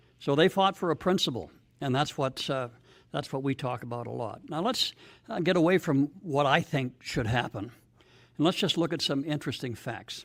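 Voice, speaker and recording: In a normal speaking voice, a man with a Canadian accent and a fairly high pitch talks at a moderate pace with ordinary pitch variation, recorded very cleanly over a silent background. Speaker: political speaker. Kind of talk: public speech. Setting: stage with audience.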